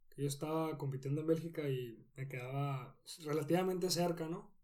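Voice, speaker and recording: Dark, mellow tone with fairly even intonation and audible room echo. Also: man. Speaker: professional cyclist. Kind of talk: interview.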